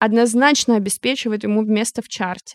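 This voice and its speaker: The sound is dry and close, with no echo. A woman speaks at a fairly high pitch with ordinary pitch variation. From Siberia, Omsk. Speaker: product manager. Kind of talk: interview.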